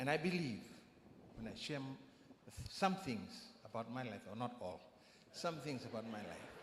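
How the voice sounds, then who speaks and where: Pausing long and often, a somewhat breathy man speaks at a moderate pace and medium pitch with lively intonation, an audible room echo around him. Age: 60s. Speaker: church member giving testimony. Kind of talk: testimony. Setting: church.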